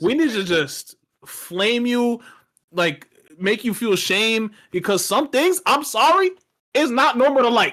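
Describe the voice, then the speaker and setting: Animated tone at a fairly slow pace, broken by long, frequent pauses. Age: 20s. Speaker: gaming podcast panelist. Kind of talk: casual chat.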